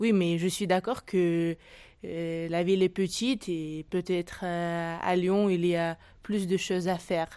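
A woman's very slow, monotone voice in a Russian accent, fairly low in pitch with a dark, mellow tone, on a very clean recording with a silent background. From Tajikistan and Russia. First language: Russian (speaking French). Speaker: exiled French learner. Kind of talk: casual chat. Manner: halting.

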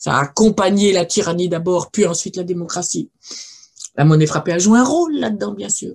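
A woman talks at a fairly quick pace, her voice somewhat breathy. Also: fairly low pitch for a woman, ordinary pitch variation. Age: 70s. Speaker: archaeologist and linguist. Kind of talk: lecture. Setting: video call.

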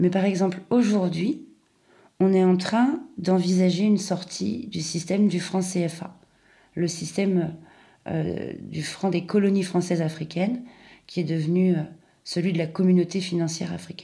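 Somewhat breathy and dark, mellow in tone, a woman with a fairly low pitch and ordinary pitch variation speaks at a fairly slow pace with long, frequent pauses, and there is audible room echo. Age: 40s. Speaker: podcaster. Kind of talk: personal essay monologue.

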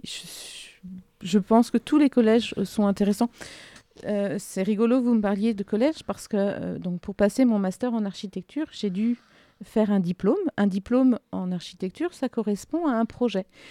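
A woman speaks at a medium pitch with ordinary pitch variation and a dark, mellow tone. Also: moderate pace, dry, close sound with no echo. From France, southern Ardennes. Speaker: architect. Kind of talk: interview. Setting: studio.

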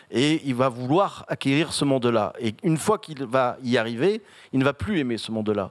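This man talks at a moderate pace with lively intonation and a medium pitch. The recording is very clean, with a silent background. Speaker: event moderator. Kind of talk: moderated author talk. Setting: stage with audience. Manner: halting.

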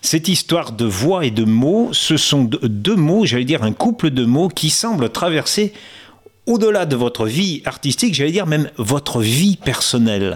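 A man's fairly high voice at a fairly slow pace, with very wide pitch swings and very even loudness. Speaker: interviewer. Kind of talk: interview.

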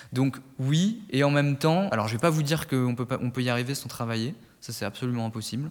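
The man's pitch is medium. He speaks at a very fast pace. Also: ordinary pitch variation. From Burgundy, France (Nièvre). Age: 20s. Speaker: civil service student. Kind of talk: interview. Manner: halting.

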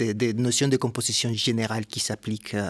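A man with a Spanish accent talks at a moderate pace in a very clean recording with a silent background and a dry, close sound free of echo. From Puerto Rico (Ponce). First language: Spanish (speaking French). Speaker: composer. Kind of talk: interview testimony.

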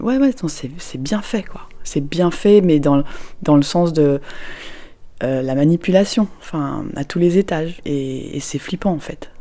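Over noticeable background noise, a woman talks at a very slow pace with a very deep, low pitch and lively intonation. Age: 40s. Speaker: parent recounting a Disneyland visit. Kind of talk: personal testimony.

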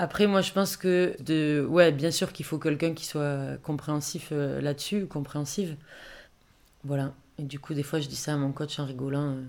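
A woman speaks at a very deep, low pitch and a moderate pace, her intonation fairly even. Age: 30s. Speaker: amateur boxer. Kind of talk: personal testimony. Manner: casual, many filler words.

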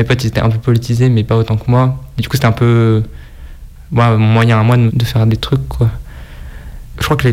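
Noticeable background noise sits behind a man speaking fairly quickly at a medium pitch with ordinary pitch variation. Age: 20s. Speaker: sticker collector. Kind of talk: interview.

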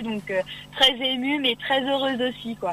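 A woman at a moderate pace, fairly even in intonation, against noticeable background noise. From Oise, Picardy, northern France. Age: 20s. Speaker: beauty pageant winner and student. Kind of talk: radio interview. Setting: phone call.

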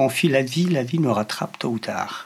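With a Polish accent, a man speaks at a fairly slow pace with ordinary pitch variation over noticeable background noise. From Poland. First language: Polish (speaking French). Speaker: interviewee who grew up with deaf parents. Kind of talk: interview. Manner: halting.

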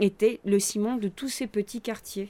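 A woman's voice with fairly even intonation. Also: very clean recording, silent background. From Roya valley, Alpes-Maritimes, France. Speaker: clown performer. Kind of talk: interview. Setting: open veranda.

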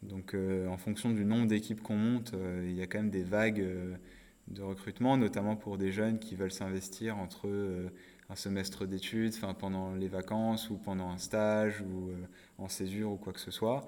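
In a dark, mellow tone, a man speaks with monotone, flat intonation. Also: fairly low pitch for a man, moderate pace. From northern France, Nord-Pas-de-Calais. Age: 20s. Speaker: social entrepreneur. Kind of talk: interview. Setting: coworking space. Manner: hesitant, many fillers.

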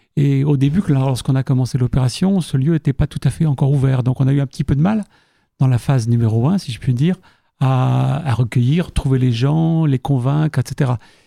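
Dry and close with no echo, a man's voice carries a dark, mellow tone at medium pitch. He moves at a moderate pace with ordinary pitch variation. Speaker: cultural association volunteer. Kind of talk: radio interview.

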